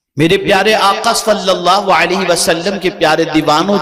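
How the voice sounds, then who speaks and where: A man speaks in a high pitch with fairly even intonation. There is noticeable background noise. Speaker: Islamic preacher / scholar. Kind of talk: Islamic sermon (taqreer) to a live audience.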